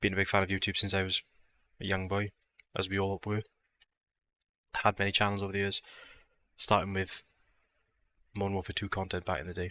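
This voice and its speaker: A man with a South Wales accent speaks very fast in a fairly low, bright, sharp voice with flat, monotone intonation and long, frequent pauses, the sound dry and close with no echo. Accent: Welsh (South Wales). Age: 20s. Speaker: gaming YouTuber. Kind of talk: casual vlog talk to camera. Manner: casual, with many fillers (um, uh).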